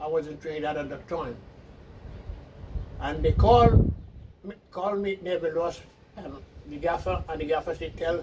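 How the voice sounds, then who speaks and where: Long, frequent pauses break up the speech, which has ordinary pitch variation. Noticeable background noise runs underneath. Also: man, fairly high pitch for a man, moderate pace. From Carriacou, Grenada. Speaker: elderly islander interviewee. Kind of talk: oral history interview. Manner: halting, with false starts.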